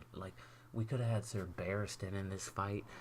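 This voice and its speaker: A quiet, somewhat breathy man with a fairly low pitch and an animated tone. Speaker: YouTuber reviewing TV episode. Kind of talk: casual solo rant. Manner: quiet, subdued; animated, rambling with false starts.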